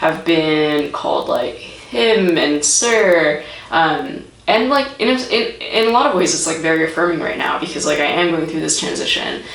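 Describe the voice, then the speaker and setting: A raspy woman's voice with a fairly low pitch and lively intonation, at a moderate pace, amid noticeable background noise and audible room echo. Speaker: vlogger. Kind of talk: vlog update. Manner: casual, hesitant with many fillers.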